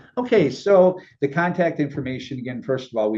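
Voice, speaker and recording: A man with a dark, mellow tone talks very fast with lively intonation. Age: 60s. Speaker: talk show host and kidney donor. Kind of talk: interview.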